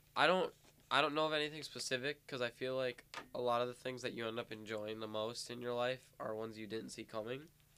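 A bright, sharp tone at a very fast pace with fairly even intonation. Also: man, medium pitch for a man. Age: young. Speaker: student podcast co-host. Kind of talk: casual chat.

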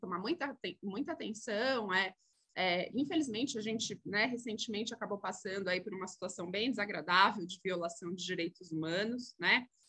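A woman with a bright, sharp tone speaks at fairly high pitch and a moderate pace, using lively intonation. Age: 40s. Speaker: corporate sustainability executive. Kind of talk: interview.

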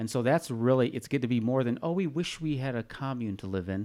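Recorded very cleanly over a silent background, a man with a normal speaking voice talks at a fairly quick pace and ordinary pitch variation. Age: 50s. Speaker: retired newspaper publisher. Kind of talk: casual chat.

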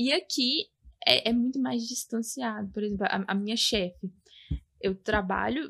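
A woman speaks with an ordinary speaking voice. Her pace is moderate and her pitch variation ordinary. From Brazil, Belo Horizonte. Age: 20s. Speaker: podcast guest, Brazilian emigrant. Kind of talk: casual chat. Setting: at her home.

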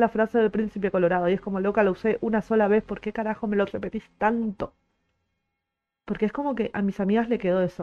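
Over music in the background, a woman with a fairly high pitch speaks at a very fast pace. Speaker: podcaster and streamer. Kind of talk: casual monologue. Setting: live stream. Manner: animated.

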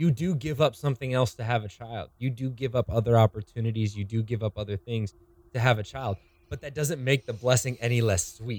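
Dry and close with no echo, a man with an American accent speaks at medium pitch and a fairly quick pace, somewhat breathy, with ordinary pitch variation. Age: 20s. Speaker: podcast host, church worship staff. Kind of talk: casual chat.

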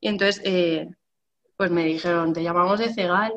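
Woman speaking at a fairly slow pace. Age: 30s. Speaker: bookseller. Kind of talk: panel discussion. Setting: video call.

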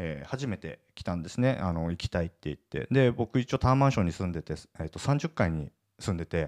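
In a very clean recording with a silent background, a man talks at a very fast pace with a very deep, low pitch and very wide pitch swings, the sound dry and close with no echo. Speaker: entrepreneur podcast host. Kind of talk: solo podcast monologue. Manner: casual with many fillers.

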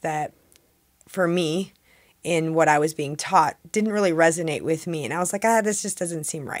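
Pitched fairly low, a woman's voice shows ordinary pitch variation. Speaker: spiritual coach for women. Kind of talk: interview.

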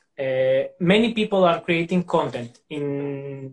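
Speaking with a Greek accent at a very slow pace, a man uses a high pitch with ordinary pitch variation. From Greece, Xanthi. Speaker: language teacher. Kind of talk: casual interview chat. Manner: halting.

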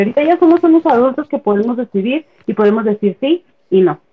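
With an ordinary speaking voice, a woman talks at a fairly slow pace, her pitch fairly high and her intonation lively. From Chihuahua, northern Mexico. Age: 30s. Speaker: feminist page administrator. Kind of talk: casual chat.

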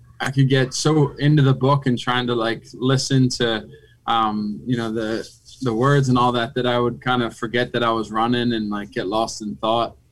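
A man with an American accent and an unremarkable speaking voice, medium in pitch, at a moderate pace with fairly even intonation. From Philadelphia, US. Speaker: retired football player. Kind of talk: casual chat.

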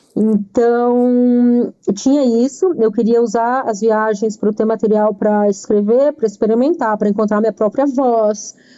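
A woman with a normal speaking voice talks at a fairly slow pace in a fairly high pitch, her loudness very even. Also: fairly even intonation. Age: 40s. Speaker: writer and editor. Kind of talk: casual chat.

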